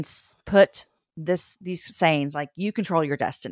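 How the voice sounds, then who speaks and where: A woman with an unremarkable speaking voice at a moderate pace, the sound dry and close with no echo. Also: very clean recording, silent background. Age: 40s. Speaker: author and podcast host. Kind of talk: interview conversation.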